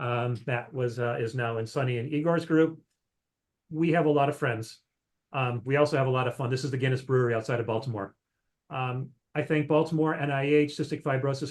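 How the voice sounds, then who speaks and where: At a fairly quick pace, a man speaks with a medium pitch, a somewhat breathy voice and fairly even intonation. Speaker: microbiology researcher. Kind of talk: scientific talk Q&A. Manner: fast.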